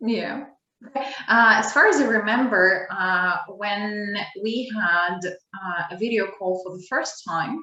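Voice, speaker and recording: Speaking very slowly at a medium pitch for a woman, a woman shows ordinary pitch variation and big swings in loudness over audible room echo. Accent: American. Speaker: English teacher, channel host. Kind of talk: casual conversation.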